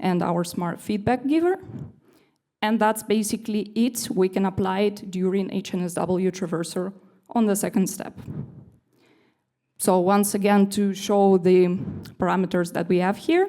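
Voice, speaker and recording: The tone is dark and mellow, delivered at a moderate pace with ordinary pitch variation. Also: woman. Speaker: developer relations engineer giving a conference talk. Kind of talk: conference lightning talk.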